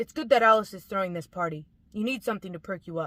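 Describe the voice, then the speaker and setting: A woman does a gruff, put-on character voice at medium pitch, very fast and with lively intonation. The sound is dry and close, with no echo. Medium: read story. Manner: gruff, hiding emotion.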